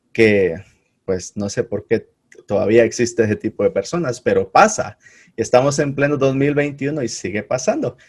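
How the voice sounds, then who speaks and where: A man speaks in an ordinary speaking voice at a moderate pace. His pitch is fairly high and his intonation lively. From Guatemala. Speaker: podcast host. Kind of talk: casual interview.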